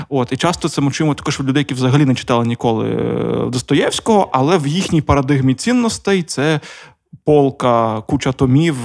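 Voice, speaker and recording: In a Russian accent, a man of fairly high pitch talks at a fairly quick pace with ordinary pitch variation. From Donetsk region, eastern Ukraine. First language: Russian (speaking Ukrainian). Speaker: radio co-founder, podcast co-host. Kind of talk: casual chat. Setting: studio.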